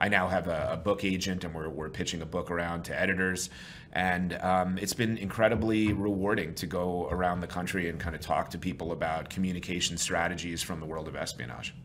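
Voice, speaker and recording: A man with an American accent speaks at a fairly quick pace, his pitch very deep and low. His intonation stays fairly even, with hardly any pauses and audible room echo. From New York. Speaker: sales trainer and consultant. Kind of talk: interview.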